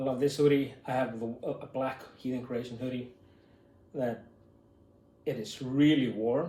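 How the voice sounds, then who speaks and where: Somewhat breathy and dark, mellow in tone, a man speaks at a medium pitch and moderate pace with monotone, flat intonation and long, frequent pauses, with audible room echo. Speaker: YouTuber. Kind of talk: unboxing video, casual talk to camera. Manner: halting, many fillers.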